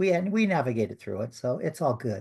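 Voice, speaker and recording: Somewhat breathy, a man speaks with an American accent and lively intonation. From US, western Maryland. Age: 60s. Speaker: author and hypnosis practitioner. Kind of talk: interview. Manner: halting.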